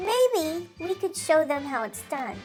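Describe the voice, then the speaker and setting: In a squeaky, put-on character voice, a woman speaks at an extremely high pitch and a fairly slow pace with faint music in the background. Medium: read story. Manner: brash, shouting.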